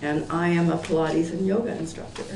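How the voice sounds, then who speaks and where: There is audible room echo and noticeable background noise as a woman with a fairly low pitch speaks at a moderate pace with ordinary pitch variation. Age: 60s. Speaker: Pilates and yoga instructor. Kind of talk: public meeting testimony. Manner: hesitant, many fillers.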